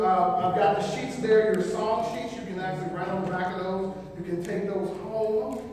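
A man's fairly even intonation in strong room echo over light background noise. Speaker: preacher. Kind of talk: sermon. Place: church. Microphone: camera far.

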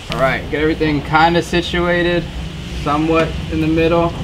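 With noticeable background noise, a man talks at a fairly quick pace. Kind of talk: tutorial. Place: garage. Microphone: camera far.

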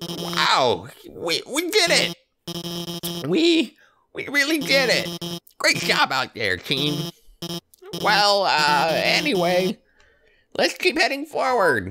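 A man uses a put-on character voice, pitched high for a man and delivered at a very slow pace. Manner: nervous, rambling, awkward.

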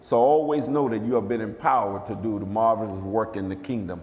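A man speaks very fast with ordinary pitch variation. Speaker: preacher. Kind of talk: sermon. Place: church. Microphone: podium.

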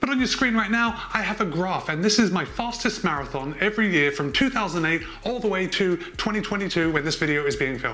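A man speaks in a raised, projected voice with lively intonation. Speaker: running vlogger. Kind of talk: explanatory vlog talk. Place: home room. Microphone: lapel.

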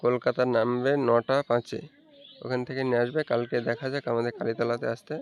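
Noticeable background noise fills the recording. A man speaks at a medium pitch in a monotone, flat intonation. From Murshidabad, West Bengal, India. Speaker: brother of deceased migrant worker. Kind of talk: news interview.

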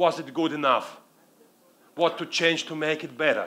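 A man's fairly high voice with a bright, sharp tone and a Russian accent. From Russian-speaking world. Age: 50s. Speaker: public speaking coach. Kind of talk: keynote talk. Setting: stage with audience. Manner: halting. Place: stage. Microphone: headset.

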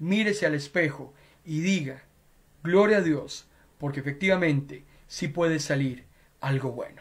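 Somewhat breathy and fairly high-pitched, a man speaks fairly slowly with ordinary pitch variation. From Costa Rica, San José; Costa Rica. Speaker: pastor. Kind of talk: sermon. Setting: web radio and Facebook Live broadcast. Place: home room. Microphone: headset.

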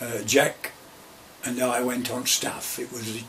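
A man with an East Midlands accent, light background noise behind him. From Derbyshire / Nottinghamshire, England. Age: 80s+. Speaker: retired coal miner. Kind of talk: oral history interview answer. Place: office. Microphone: camera far.

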